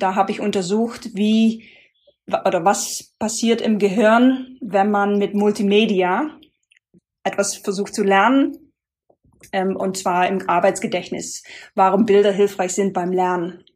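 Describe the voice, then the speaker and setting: Speaking at a very slow pace with long, frequent pauses, a woman with a non-native accent uses a medium pitch and ordinary pitch variation. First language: not German (speaking German). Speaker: sustainability consultant, former penetration tester. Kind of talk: interview. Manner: hesitant, many filler sounds.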